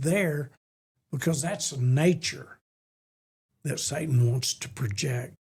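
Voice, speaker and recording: A man's somewhat breathy, dark and mellow voice, fairly high in pitch, with ordinary pitch variation and a very slow pace. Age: 80s+. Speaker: grandparent adoptive parent. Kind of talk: interview testimony.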